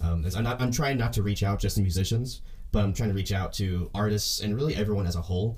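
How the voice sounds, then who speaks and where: Somewhat breathy, a man speaks with a fairly low pitch and a dark, mellow tone. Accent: Oklahoma. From US South, Oklahoma. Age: 20s. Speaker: podcast host, percussion student. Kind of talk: solo podcast monologue. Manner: fast talker.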